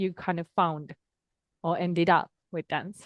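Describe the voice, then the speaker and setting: A woman talks with a Finnish accent. Her pitch is fairly low and her pace moderate. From Finland. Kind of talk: interview conversation.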